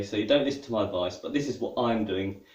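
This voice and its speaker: A man with a British accent at a fairly quick pace. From England. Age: 40s. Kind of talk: casual talk to camera. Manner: hesitant, conversational.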